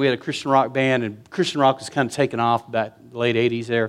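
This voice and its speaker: A man speaks in an animated tone on a very clean recording with a silent background. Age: 50s. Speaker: pastor. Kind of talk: sermon. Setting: church.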